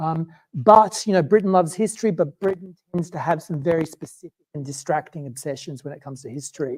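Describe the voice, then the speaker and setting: Someone with an Australian accent talks at a very fast pace, with hardly any pauses. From Australia, Queensland. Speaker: economics researcher. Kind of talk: public talk. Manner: casual, many fillers.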